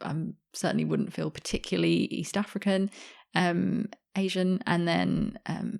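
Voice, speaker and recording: A woman talks at a fairly slow pace with a British accent. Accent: sounds very British. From Australia, Sydney. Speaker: journalist and author. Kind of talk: interview conversation.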